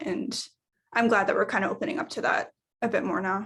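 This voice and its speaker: A woman speaks in a fairly high, somewhat breathy voice. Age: 20s. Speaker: college student panelist. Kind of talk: panel discussion.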